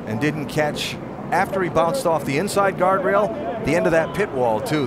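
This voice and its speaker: An animated man speaks at a moderate pace in a high voice with very wide pitch swings. Loud background noise runs under the dry sound, which has no echo. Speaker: race broadcast lead announcer. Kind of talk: live race commentary. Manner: animated, brisk play-by-play delivery.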